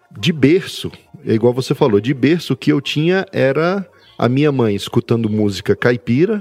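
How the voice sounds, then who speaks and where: Lively intonation marks this man's medium-pitched voice. He speaks at a moderate pace. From Brasília, Brazil. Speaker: podcaster. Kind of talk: casual chat.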